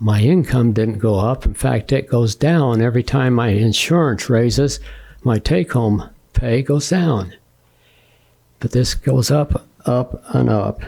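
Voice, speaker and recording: A man's somewhat breathy, dark, mellow voice at a medium pitch, fairly slow, with ordinary pitch variation and very even loudness. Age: 80s+. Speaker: public commenter, homeowner. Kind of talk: public comment at hearing. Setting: county commission meeting.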